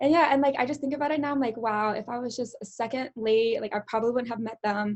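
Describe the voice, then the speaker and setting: A woman talks loudly and very fast at a high pitch. Her tone is animated. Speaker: college student. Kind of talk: casual chat.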